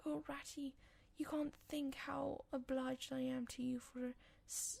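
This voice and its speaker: A soft-spoken woman has a high pitch and a dark, mellow tone. She talks at a fairly slow pace. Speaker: audiobook reader. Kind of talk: reading aloud.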